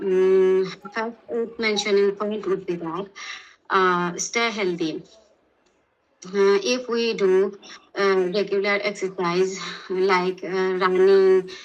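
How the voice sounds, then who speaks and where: In a Sylheti accent, a woman speaks very slowly in a medium pitch and a flat monotone, with long, frequent pauses. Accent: Bangladeshi English (Sylheti). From Bangladesh, Sylhet. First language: Bengali (Sylheti). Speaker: language test candidate. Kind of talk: speaking exam answers. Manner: halting, many fillers.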